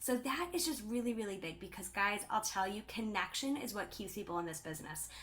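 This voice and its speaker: A woman speaks at a fairly quick pace with hardly any pauses, her medium-pitched voice carrying lively intonation over noticeable background noise. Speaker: direct sales team leader. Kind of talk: live stream talk. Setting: livestream. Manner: loud; animated.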